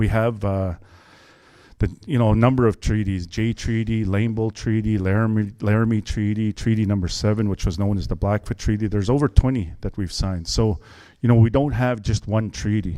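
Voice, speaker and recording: In a very clean recording with a silent background, a man talks fairly quickly in a fairly low, dark, mellow voice with fairly even intonation. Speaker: political candidate. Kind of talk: campaign speech. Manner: fast.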